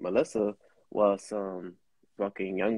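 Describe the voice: The voice has a dark, mellow tone with a slightly husky edge and fairly even intonation. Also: man.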